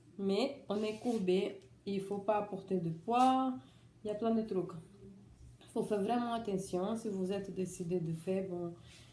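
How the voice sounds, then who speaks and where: A woman with a non-native accent talks at a fairly slow pace with long, frequent pauses, her medium-pitched voice dark, mellow and somewhat breathy, her intonation fairly even, and audible room echo in the recording. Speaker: vlogger sharing surgery experience. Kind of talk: personal testimony vlog. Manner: halting, many restarts.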